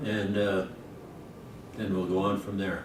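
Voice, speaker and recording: In an American accent, a man speaks with a fairly low pitch. Room echo is audible, and there is noticeable background noise. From US West, Pocatello, Idaho. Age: 70s. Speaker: elderly man recording childhood memories. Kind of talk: casual reminiscing.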